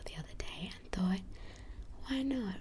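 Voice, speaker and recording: A woman is whispering. She is soft-spoken. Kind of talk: casual talk to camera. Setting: binaural ASMR recording. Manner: whispered, soft-spoken.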